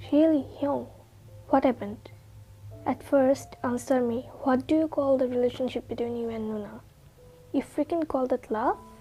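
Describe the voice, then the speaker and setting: Over music in the background, a woman with a high pitch speaks at a moderate pace with fairly even intonation and long, frequent pauses. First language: not English. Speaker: fanfiction narrator. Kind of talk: read story.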